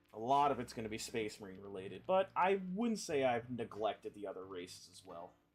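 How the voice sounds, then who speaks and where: At a fairly quick pace and with hardly any pauses, a man talks with big swings in loudness and very wide pitch swings. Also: medium pitch for a man. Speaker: streamer painting miniatures. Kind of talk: live stream casual chat. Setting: live stream. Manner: fast.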